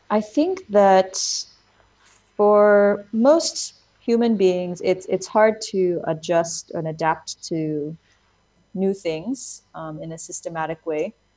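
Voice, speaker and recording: A woman with an American accent speaks very slowly with lively intonation. Her loudness swings widely. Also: medium pitch for a woman. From United States. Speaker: education NGO founder. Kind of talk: interview.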